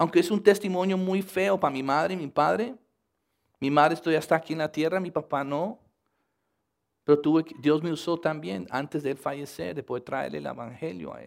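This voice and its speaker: A man with an English accent, fairly high in pitch, at a fairly quick pace, with lively intonation and big swings in loudness, on a very clean recording against a silent background. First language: English (speaking Spanish). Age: 50s. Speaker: missionary and youth minister. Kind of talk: sermon.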